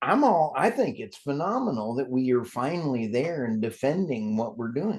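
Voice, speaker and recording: A man talks with an American accent at a moderate pace and medium pitch. His intonation is lively, with hardly any pauses. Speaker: energy podcast host. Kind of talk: interview podcast conversation. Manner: animated.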